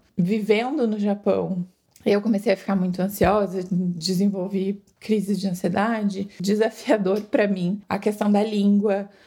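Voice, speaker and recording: At a fairly slow pace, a woman speaks in a monotone, flat intonation, her medium-pitched voice somewhat breathy with a dark, mellow tone. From Brazil. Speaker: emigrant interviewee. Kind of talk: interview.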